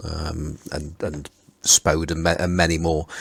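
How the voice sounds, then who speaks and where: With a Potteries accent, a man with a very deep, low pitch and a bright, sharp tone speaks at a fairly slow pace in a monotone, flat intonation. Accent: Potteries (Stoke-on-Trent). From England, Stoke-on-Trent (the Potteries). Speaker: podcast host. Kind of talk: casual chat. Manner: halting, many fillers and repeats.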